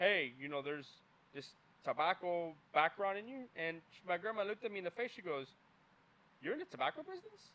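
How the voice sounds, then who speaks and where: A man with a Spanish accent and a high pitch talks at a fairly quick pace with lively intonation, long, frequent pauses and big swings in loudness. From US, Cuban-American family (Tampa area). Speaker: cigar brand owner. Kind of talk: interview.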